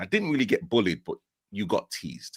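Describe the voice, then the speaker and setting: A man with a Yorkshire accent speaks with vocal fry and ordinary pitch variation. The sound is dry and close, with no echo. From northern England, Leeds. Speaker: guest sharing mental health story. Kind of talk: personal testimony. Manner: halting, many fillers.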